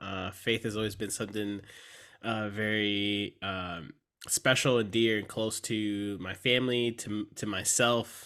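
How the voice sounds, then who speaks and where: Fairly slow and flat in a monotone, a man speaks with a bright, sharp tone and a fairly low pitch. The recording is very clean, with a silent background. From San Antonio, Texas. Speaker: seminary student, former pastor. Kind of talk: casual conversational interview. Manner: hesitant, many fillers.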